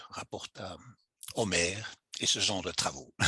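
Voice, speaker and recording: A man's very slow, bright and sharp voice with vocal fry, dry and close with no echo. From Belgium. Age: 60s. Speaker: classics teacher and author. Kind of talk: interview. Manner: halting, many hesitations.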